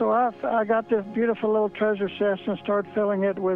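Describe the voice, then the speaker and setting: High male voice, monotone and flat, at a moderate pace with music in the background. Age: 80s+. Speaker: treasure hider, art dealer. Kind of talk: interview answer. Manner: hesitant, halting.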